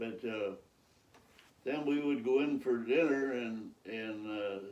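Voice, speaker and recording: The man's voice sits at a medium pitch with ordinary pitch variation. He talks at a very slow pace. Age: 90s. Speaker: retired farmer. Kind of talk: interview answer, telling old stories. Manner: hesitant, rambling.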